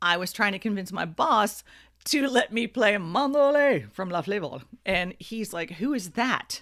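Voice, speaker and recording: In an American accent, a woman speaks at a fairly slow pace with a medium pitch and lively intonation, a normal speaking voice. The recording is very clean with a silent background. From South Florida. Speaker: radio broadcaster. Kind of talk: casual podcast talk.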